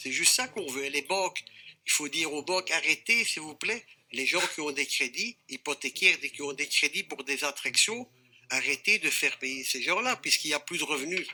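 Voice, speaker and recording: Bright, sharp male voice with fairly high pitch, lively intonation and a moderate pace. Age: 60s. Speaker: fairground operator, federation president. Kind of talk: TV debate. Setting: TV studio.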